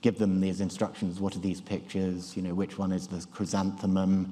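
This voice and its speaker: A man with a British accent speaks at a fairly low pitch in a dark, mellow tone. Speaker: neurology professor giving a conference talk. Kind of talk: conference lecture. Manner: halting, many fillers and restarts. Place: hall.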